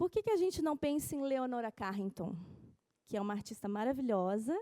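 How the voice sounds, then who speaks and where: Fairly quick and high-pitched, a woman speaks with very wide pitch swings and a dark, mellow tone. The sound is dry and close, with no echo. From Brazil. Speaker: art curator. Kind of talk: conference talk.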